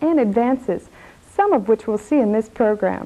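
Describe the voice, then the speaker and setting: A woman talks at a fairly quick pace in a high pitch. Her intonation is lively. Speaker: TV program host. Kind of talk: infomercial host introduction.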